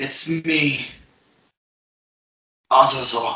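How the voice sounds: A man performs a put-on character voice with a slight echo.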